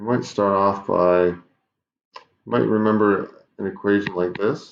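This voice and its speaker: An unremarkable speaking voice, this man talks at a fairly slow pace with a fairly low pitch and fairly even intonation. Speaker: math teacher. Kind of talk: online class lesson.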